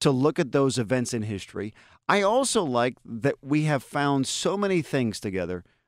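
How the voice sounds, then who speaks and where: A man speaks with an American accent and very wide pitch swings. The recording is very clean, with a silent background. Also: medium pitch for a man, moderate pace. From western Pennsylvania, US. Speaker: talk radio host. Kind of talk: casual interview.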